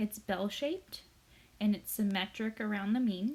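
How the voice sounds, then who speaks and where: A woman with a fairly high, somewhat breathy voice speaks at a moderate pace, her pitch varying in an ordinary way. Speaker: statistics teacher. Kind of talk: recorded lecture.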